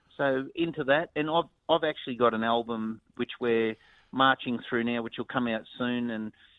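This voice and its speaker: A man speaks in an Australian accent, his pitch sitting at a medium level. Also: fairly even intonation, moderate pace. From North Queensland, Australia. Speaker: musician. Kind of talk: interview. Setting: phone call.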